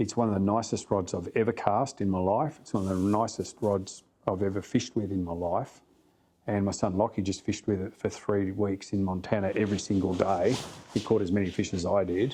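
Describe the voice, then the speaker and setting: A man with an Australian accent, fairly low in pitch and dark and mellow in tone, fairly quick, with fairly even intonation. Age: 60s. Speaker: flyfishing guide and casting instructor. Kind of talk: podcast interview.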